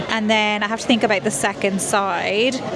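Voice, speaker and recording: Over music in the background, a woman speaks at a moderate pace with audible room echo. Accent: American. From Ireland. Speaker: food vlogger. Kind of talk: casual vlog narration. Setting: restaurant.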